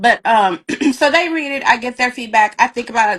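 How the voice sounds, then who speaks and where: Her pitch swings very widely. The woman speaks at a very fast pace. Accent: slight Southern US. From US South, rural. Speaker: author. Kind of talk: interview. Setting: live video stream.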